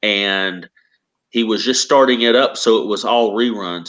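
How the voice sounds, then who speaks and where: A man with a Southern accent speaks at a fairly slow pace and medium pitch. His pitch varies in an ordinary way, and the background is quiet. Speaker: author. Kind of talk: casual chat.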